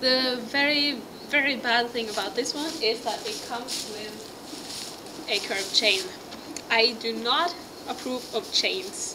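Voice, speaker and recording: Speaking at a very slow pace, a woman uses a high pitch with ordinary pitch variation. Noticeable background noise sits behind her. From Norway. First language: Norwegian. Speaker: horse rider. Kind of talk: casual talk to camera, tack review. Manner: rising intonation, sounds like asking questions.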